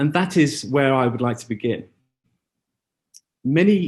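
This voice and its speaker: A man with a normal speaking voice talks at a moderate pace and medium pitch, using ordinary pitch variation. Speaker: school educator presenting at seminar. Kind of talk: conference presentation. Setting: auditorium with live translator and zoom.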